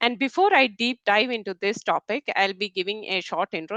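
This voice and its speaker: A woman speaks at a moderate pace with a Keralan accent. The sound is dry and close, with no echo. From India (Kerala, Malayalam speaker). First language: Malayalam. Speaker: technical program manager, conference speaker. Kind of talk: webinar presentation. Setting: online webinar, screen sharing.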